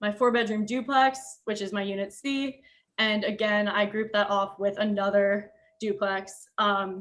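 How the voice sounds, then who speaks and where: A woman with a medium pitch is captured in a very clean recording with total silence behind her. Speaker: architecture student. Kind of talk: design review presentation. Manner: hesitant, many fillers.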